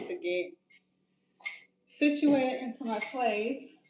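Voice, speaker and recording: A woman is talking. She uses lively intonation. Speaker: lifestyle vlogger. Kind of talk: casual cooking vlog. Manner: quiet, relaxed.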